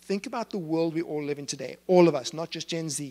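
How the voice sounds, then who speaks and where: The recording is dry and close with no echo, carrying a man's fairly high-pitched voice with a dark, mellow tone. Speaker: speaker on generational trends. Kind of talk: talk to live audience. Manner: fast.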